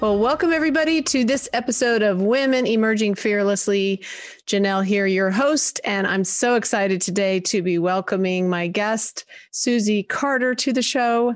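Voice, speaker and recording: Speaking at a moderate pace with ordinary pitch variation, a woman has a fairly high pitch and an unremarkable speaking voice. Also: very even loudness. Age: 60s. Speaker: podcast host. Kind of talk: interview conversation.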